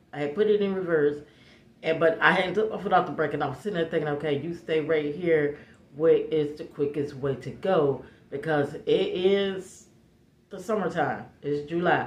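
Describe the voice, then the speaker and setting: With audible room echo, a woman speaks at a very deep, low pitch and a moderate pace, her tone animated and her pitch variation ordinary. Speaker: vlogger. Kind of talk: storytime chat. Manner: loud.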